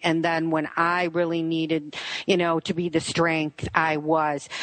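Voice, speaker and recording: A woman speaks in a Buffalo accent at a fairly low pitch. Her pace is fairly slow. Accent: Western New York (Buffalo). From Buffalo, New York. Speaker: radio show host, author, interview guest.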